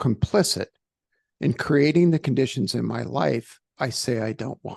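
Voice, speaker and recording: An American-accented man speaks at a fairly slow pace with vocal fry and very wide pitch swings, his sound dry and close with no echo against a quiet background. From New York, Brooklyn. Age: 60s. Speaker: executive coach and author. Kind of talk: interview. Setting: studio.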